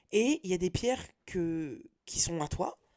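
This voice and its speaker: Dark, mellow female voice with ordinary pitch variation. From France, Nantes. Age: 30s. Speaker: podcaster. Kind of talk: personal monologue. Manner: casual slangy, hesitant.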